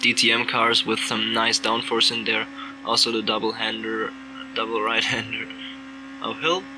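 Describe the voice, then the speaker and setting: A man at medium pitch with lively intonation, moderate pace, long frequent pauses and noticeable background noise. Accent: slight non-native. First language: not English. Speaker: sim racing driver. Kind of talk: race commentary over gameplay. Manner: animated.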